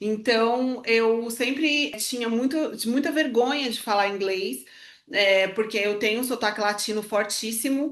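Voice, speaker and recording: With audible room echo, a woman speaks at a fairly slow pace in a fairly high pitch with ordinary pitch variation. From Brazil. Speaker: podcast co-host, former fashion professional. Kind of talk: casual conversation.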